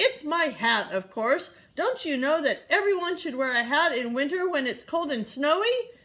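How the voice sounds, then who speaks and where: Shouting in a high-pitched, put-on character voice, the speaker projects loudly at a moderate pace with hardly any pauses, on a very clean recording with a silent background. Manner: shouting, indignant.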